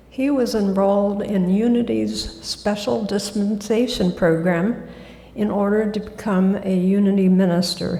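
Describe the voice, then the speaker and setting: A woman speaks at a medium pitch and fairly slow pace, with fairly even intonation and very even loudness. Noticeable background noise and audible room echo fill the recording. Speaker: guest speaker at church. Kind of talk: sermon.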